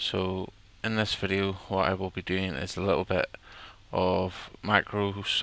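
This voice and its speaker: A man with an Irish accent speaks in a monotone, flat intonation at a very deep, low pitch, the sound dry with no echo. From Ireland. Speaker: software tutorial presenter; presenter. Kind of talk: tutorial. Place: home room. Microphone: headset.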